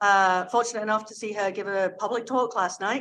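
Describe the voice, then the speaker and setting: A woman speaks loudly at a moderate pace with a fairly high pitch and ordinary pitch variation. Her tone is bright and sharp, set against a quiet background. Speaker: panel moderator. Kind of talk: conference panel introduction. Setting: conference room, hybrid event.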